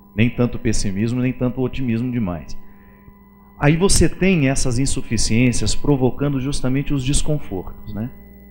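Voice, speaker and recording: A man with an ordinary speaking voice, medium pitch and ordinary pitch variation, at a moderate pace. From Minas Gerais, Brazil. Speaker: priest and writer. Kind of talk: interview answer.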